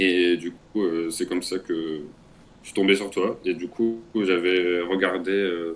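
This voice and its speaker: With a very deep, low pitch, a man speaks at a fairly slow pace and with fairly even intonation. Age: 20s. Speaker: coaching client. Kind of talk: testimony. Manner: halting.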